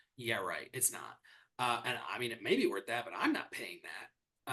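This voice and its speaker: With an American accent, a man speaks in a bright, sharp tone at a fairly quick pace. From US Midwest, Michigan. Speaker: real estate executive and merger consultant. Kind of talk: podcast interview. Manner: conversational, with frequent fillers and restarts.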